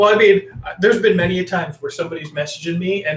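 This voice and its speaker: A man speaks with a slight Canadian accent. His pitch variation is ordinary. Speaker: podcast co-host, former coach. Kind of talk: casual chat.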